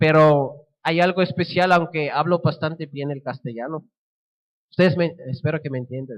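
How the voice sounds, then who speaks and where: A man with a Swiss German accent, fairly high in pitch, at a moderate pace, with fairly even intonation and big swings in loudness. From Switzerland (German-speaking). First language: Swiss German (speaking Spanish). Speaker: missionary. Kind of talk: sermon.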